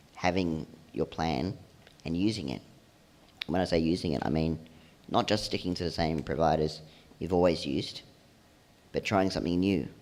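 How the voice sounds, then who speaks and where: A man with a very deep, low voice speaks at a fairly quick pace. His voice has vocal fry and ordinary pitch variation. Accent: Australian. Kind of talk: presentation to audience. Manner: fast.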